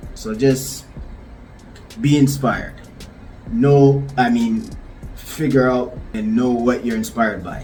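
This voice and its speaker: A man with a medium-pitched voice talks very slowly, with fairly even intonation and long, frequent pauses. Music plays behind him, and the room echo is audible. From Ghana (West Africa). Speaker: visual artist. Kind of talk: casual vlog talk to camera.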